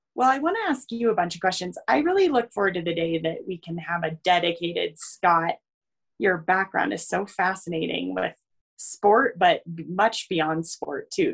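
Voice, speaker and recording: A woman talks at a moderate pace in a fairly low pitch. Hers is a plain, everyday voice with ordinary pitch variation. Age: 30s. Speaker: ski mountaineering racer and coach. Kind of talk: casual chat.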